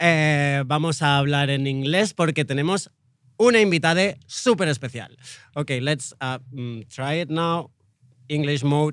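On a very clean recording with a silent background, a man with a Spanish accent speaks at a moderate pace and fairly high pitch, with ordinary pitch variation and long, frequent pauses. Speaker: radio host. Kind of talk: casual interview chat. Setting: festival radio booth.

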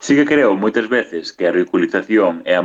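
A man at a moderate pace. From Galicia, Boiro. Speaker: youtuber. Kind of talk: recorded voice message.

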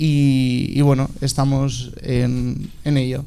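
A man speaks at medium pitch. Room echo is audible. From Alicante, Spain. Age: 20s. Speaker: fashion designer. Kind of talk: panel discussion. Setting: stage with audience. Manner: halting.

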